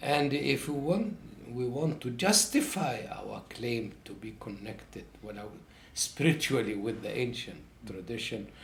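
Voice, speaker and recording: Somewhat breathy, a man speaks at a medium pitch and a fairly slow pace with lively intonation and big swings in loudness, and the room echo is audible. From Egypt. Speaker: professor. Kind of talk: interview. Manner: halting.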